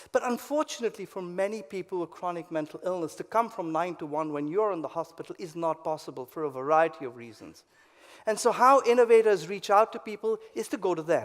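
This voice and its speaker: Talking at a very fast pace, a man with a high voice uses lively intonation and big swings in loudness. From India. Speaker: psychiatrist and professor. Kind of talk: conference lecture.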